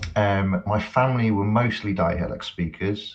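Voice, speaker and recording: A man with a slight Cheshire accent and ordinary pitch variation. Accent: slight Cheshire accent, toned-down English. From England, Cheshire (rural). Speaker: academic and musician. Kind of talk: podcast interview. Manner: halting, repeats words.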